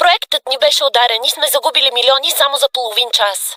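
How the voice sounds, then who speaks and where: A put-on character voice, female-sounding and high in pitch. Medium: fan dub. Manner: anxious, deferential.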